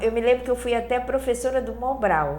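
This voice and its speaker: A woman's voice with audible room echo. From Angola. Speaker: spiritist speaker. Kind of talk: interview. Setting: studio.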